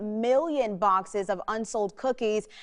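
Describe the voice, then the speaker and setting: At a fairly slow pace, a woman with an unremarkable speaking voice talks in a fairly high pitch with ordinary pitch variation over a quiet background. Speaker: television journalist, news anchor and field reporter. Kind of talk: TV news script read.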